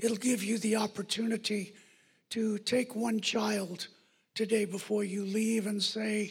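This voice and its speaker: A man's high-pitched voice, monotone and flat, at a fairly slow pace. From US. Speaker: pastor. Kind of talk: sermon. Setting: church.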